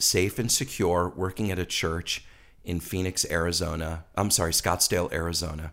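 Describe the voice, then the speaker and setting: A man at a fairly slow pace, on a very clean recording with a silent background. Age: 50s. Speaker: ministry founder. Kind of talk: interview testimony. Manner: animated.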